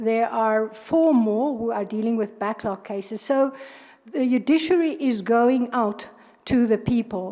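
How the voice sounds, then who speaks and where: With a South African accent, a woman speaks at a fairly slow pace in a dark, mellow tone, her pitch fairly high with ordinary pitch variation. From South Africa, Northern Cape. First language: Afrikaans. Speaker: judge. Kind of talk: job interview. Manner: halting, many fillers.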